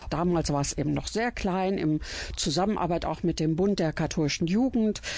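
A woman speaks at a moderate pace in a medium pitch. Her tone is dark and mellow, with ordinary pitch variation. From Germany, Iserlohn (Sauerland, Westphalia). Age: 60s. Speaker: church cabaret artist. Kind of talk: radio interview, personal storytelling.

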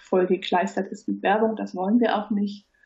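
Her voice is somewhat breathy. The woman keeps her intonation fairly even. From Hamburg, northern Germany. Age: 30s. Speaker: platform founder. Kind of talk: interview. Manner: hesitant, many fillers.

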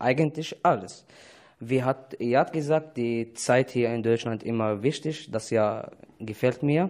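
The speaker has an Arabic accent. The pace is fairly slow. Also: man, medium pitch for a man, ordinary pitch variation. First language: Arabic (speaking German). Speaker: refugee. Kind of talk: casual interview. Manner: halting.

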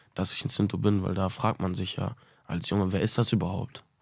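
At a moderate pace, a man speaks in an unremarkable speaking voice with a fairly low pitch. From Münster, Germany. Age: 20s. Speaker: musician. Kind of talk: interview.

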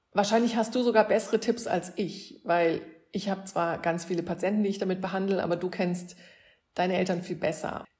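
At a fairly quick pace, a woman speaks with a medium pitch, a somewhat breathy voice and fairly even intonation. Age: 50s. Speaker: neurologist. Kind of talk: explaining to children.

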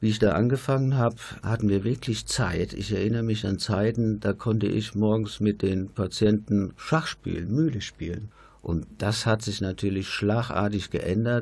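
On a very clean recording with a silent background, a man speaks in a somewhat breathy voice at a fairly low pitch. His pace is moderate and his intonation fairly even. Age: 60s. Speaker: retired nurse. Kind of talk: radio panel discussion. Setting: studio.

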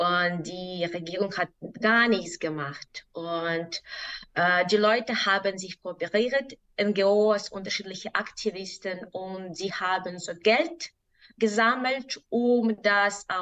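In a Belarusian accent, a woman speaks very slowly at a medium pitch with ordinary pitch variation. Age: 20s. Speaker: activist. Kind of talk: interview. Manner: halting.

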